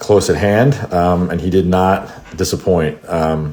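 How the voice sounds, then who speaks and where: Noticeable background noise surrounds a man speaking in a very deep, low voice. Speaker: podcast host and English teacher. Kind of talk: casual interview chat. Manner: animated.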